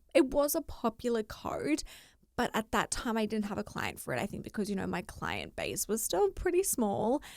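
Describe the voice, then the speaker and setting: On a very clean recording with a silent background, a woman talks at a moderate pace in an Australian accent. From Australia, Rockhampton, Queensland. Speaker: fashion sourcer and writer. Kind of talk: podcast interview.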